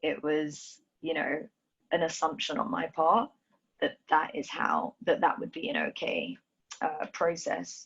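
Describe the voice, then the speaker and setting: A woman speaks with a slight London accent. Her pace is fairly slow. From Ethiopia, raised in London. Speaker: dancer. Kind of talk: interview.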